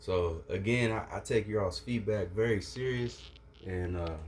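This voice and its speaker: A man speaks at a fairly slow pace. His voice is somewhat breathy, with ordinary pitch variation. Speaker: entrepreneur and YouTuber. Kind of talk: unboxing video. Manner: stuttering; animated.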